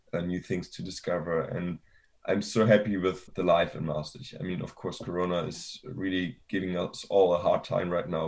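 A man speaks with a German accent at a moderate pace. His pitch is very deep and low. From Germany. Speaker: university student. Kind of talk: interview. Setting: video call.

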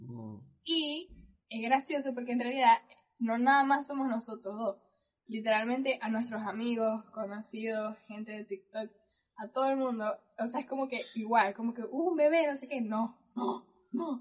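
A plain, everyday voice: a woman at a fairly high pitch and moderate pace, with ordinary pitch variation and big swings in loudness. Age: 20s. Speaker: podcast co-host. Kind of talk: casual chat.

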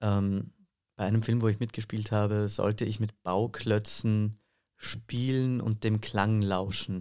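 A man talks at a very slow pace in a fairly low voice with a dark, mellow tone, monotone, flat intonation and very even loudness. The recording is very clean, with a silent background. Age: 20s. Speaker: voice and singing teacher, actor. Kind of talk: interview.

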